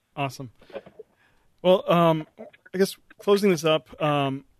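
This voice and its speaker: This man's fairly high voice holds a fairly even intonation, recorded dry and close with no echo. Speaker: podcast host. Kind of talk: interview.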